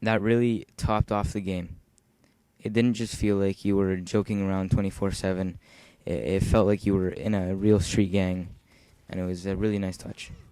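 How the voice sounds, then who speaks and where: A man speaks in a dark, mellow tone with monotone, flat intonation. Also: fairly low pitch for a man, moderate pace. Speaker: gaming YouTuber. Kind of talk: casual commentary over gameplay. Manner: halting, stumbles while reading.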